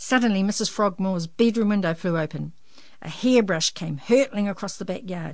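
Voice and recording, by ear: This is a recording of reading aloud in a natural voice. The words are read out.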